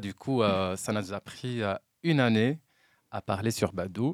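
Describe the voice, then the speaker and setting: With a plain, everyday voice, a man speaks at a medium pitch with ordinary pitch variation, recorded very cleanly against a silent background with a dry, close sound and no echo. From Morocco, Oujda region. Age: 30s. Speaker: quality engineer. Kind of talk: casual chat.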